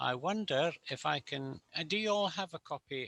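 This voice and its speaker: Recorded dry and close with no echo, a man in a Scottish accent has a bright, sharp tone and very wide pitch swings. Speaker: charity treasurer. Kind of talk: online meeting introduction. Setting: video call.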